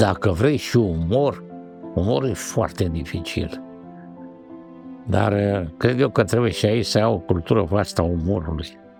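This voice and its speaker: Music plays in the background. A man speaks at a fairly low pitch with ordinary pitch variation. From Romania. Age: 70s. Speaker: animation director and writer. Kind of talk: documentary interview answer.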